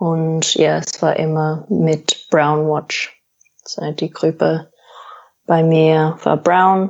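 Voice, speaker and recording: A woman with an English accent speaks at a very slow pace in a very deep, low voice with monotone, flat intonation. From Australia. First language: English (speaking German). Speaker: paramedic. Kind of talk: interview. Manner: halting, many fillers.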